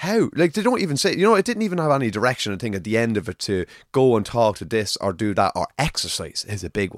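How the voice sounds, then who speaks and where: A man with an Irish accent speaks very fast at a medium pitch, his pitch swinging very widely, with hardly any pauses, in a dry, close sound with no echo on a very clean recording with a silent background. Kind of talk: casual chat.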